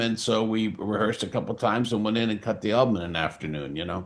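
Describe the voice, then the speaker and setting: Very fast and fairly low-pitched, a man speaks with ordinary pitch variation. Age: 70s. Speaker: rock musician. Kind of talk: interview. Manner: halting.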